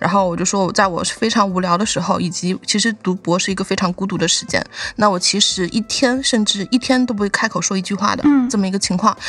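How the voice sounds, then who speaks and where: Over noticeable background noise, a woman at a medium pitch talks at a very fast pace with hardly any pauses and ordinary pitch variation. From Guizhou, Guiyang. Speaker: PhD student, guest co-host candidate. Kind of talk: casual chat. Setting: video call from her lab.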